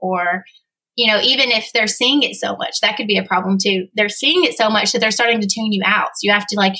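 A woman's bright, sharp tone sits at a medium pitch with fairly even intonation. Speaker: copywriter and funnel specialist. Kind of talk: casual chat. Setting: studio.

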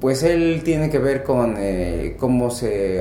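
A man is speaking in a space with audible room echo and noticeable background noise. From Mexico, Pachuca, Hidalgo. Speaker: rock band leader and musician. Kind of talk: podcast interview.

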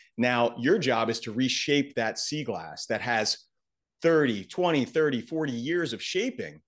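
An unremarkable speaking voice with lively intonation over a quiet background. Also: man. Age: 40s. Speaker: psychiatrist. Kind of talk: casual chat.

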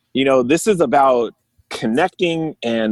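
A man with a Californian accent and lively intonation. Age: 40s. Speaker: musician and guitar maker. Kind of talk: casual chat. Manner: animated, laughs often.

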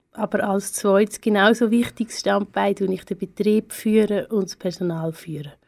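A woman's plain, everyday voice at medium pitch, with hardly any pauses and big swings in loudness, in a very clean, dry, close recording with a silent background and no echo. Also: fairly even intonation, moderate pace. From Switzerland, Aargau. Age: 30s. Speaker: art historian, head of a cultural venue. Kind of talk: radio interview.

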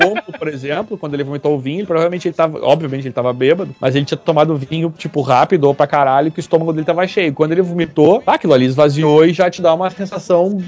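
A man's fairly high voice at a very fast pace with hardly any pauses, ordinary pitch variation and music in the background. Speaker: podcast co-host. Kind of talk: casual chat. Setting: studio.

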